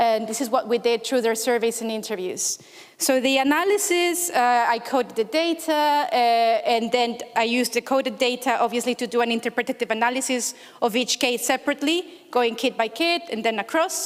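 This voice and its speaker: A woman with a Spanish accent speaks at a high pitch with ordinary pitch variation. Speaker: researcher presenting at a conference. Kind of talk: conference talk. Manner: hesitant, many fillers.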